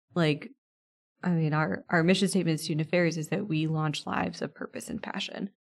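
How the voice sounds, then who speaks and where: A woman's fairly low-pitched voice, a normal speaking voice. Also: ordinary pitch variation, fairly quick pace. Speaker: college administrator. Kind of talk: interview.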